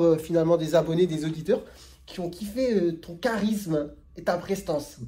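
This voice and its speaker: A man talks at a moderate pace. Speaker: general practitioner. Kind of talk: casual interview with a colleague.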